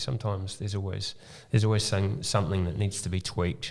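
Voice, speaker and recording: With a New Zealand accent, a man talks in a very deep, low, somewhat breathy voice. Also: very clean recording, silent background. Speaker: mortgage broker. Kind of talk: podcast interview. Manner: halting, many ums.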